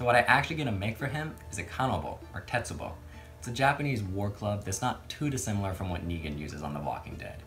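A man's fairly low voice at a very fast pace, with clear music behind it. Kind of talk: casual vlog chat. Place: workshop.

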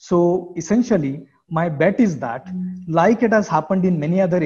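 At a moderate pace, a man with an Indian accent speaks in a dark, mellow tone with ordinary pitch variation. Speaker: professor. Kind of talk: lecture. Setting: video call.

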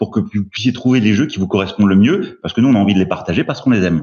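A man's fairly low-pitched voice. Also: quiet background. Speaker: award jury head explaining rules. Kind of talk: casual group discussion about board games. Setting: live stream, video call. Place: home room. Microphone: video call.

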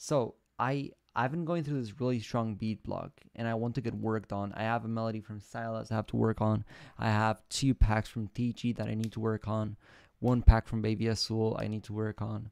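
With a quiet background and a dry sound with no echo, a man talks at a moderate pace with fairly even intonation. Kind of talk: casual stream chat. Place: home room.

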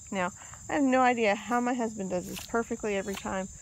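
A woman at a moderate pace with ordinary pitch variation, in a dry sound with no echo. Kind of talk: casual vlog chat. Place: open country. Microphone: phone near.

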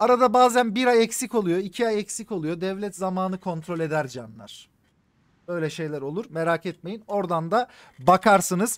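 A man with a high pitch talks in an animated tone, his intonation lively. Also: moderate pace, quiet background. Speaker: gaming streamer. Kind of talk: live game stream commentary. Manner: animated, casual with heavy swearing.

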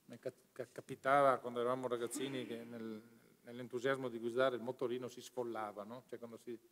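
Light background noise sits behind a man talking very fast at a medium pitch in a monotone, flat intonation. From Veneto, northern Italy. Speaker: pension fund president; speaker. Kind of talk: formal speech. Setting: conference hall. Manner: halting, many fillers. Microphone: podium.

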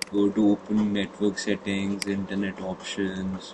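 A man with a non-native accent speaks at a fairly slow pace in a fairly low voice. There is noticeable background noise. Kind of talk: casual tech tutorial talk.

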